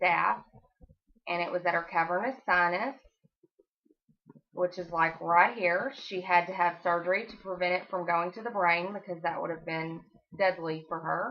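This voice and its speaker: Delivery comes at a moderate pace in an American accent with ordinary pitch variation. Loudness swings widely throughout. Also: woman. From Texas. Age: 30s. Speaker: college student. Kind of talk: class speech.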